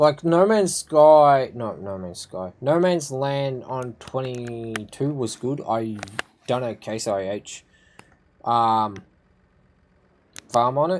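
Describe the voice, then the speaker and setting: Someone with an Australian accent speaks at a very slow pace with lively intonation, big swings in loudness and long, frequent pauses. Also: man, medium pitch for a man. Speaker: gaming streamer. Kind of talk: live gameplay commentary. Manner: casual, rambling with fillers.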